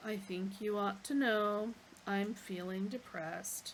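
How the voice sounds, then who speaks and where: Using a put-on character voice, a woman with a medium pitch talks at a fairly slow pace over clear background noise. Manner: gloomy, dejected.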